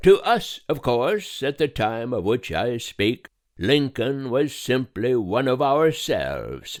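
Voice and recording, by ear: A natural voice reading aloud over a quiet background, pitch variation ordinary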